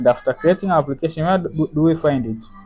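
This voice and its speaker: Noticeable noise runs in the background as this man talks, his pitch varying in an ordinary way. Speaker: software developer demonstrating app. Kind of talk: tutorial. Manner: halting.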